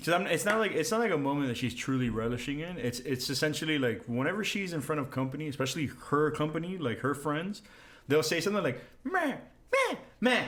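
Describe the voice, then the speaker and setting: Audible room echo surrounds a voice moving at a very fast pace with lively intonation. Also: man, fairly high pitch for a man. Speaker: podcast co-host. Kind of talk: casual chat.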